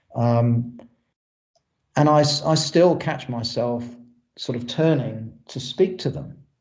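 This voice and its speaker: A man with an English accent talks at a very slow pace with long, frequent pauses, his somewhat breathy voice fairly high in pitch with ordinary variation and audible room echo around it. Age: 60s. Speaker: exhumation specialist. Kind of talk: lecture.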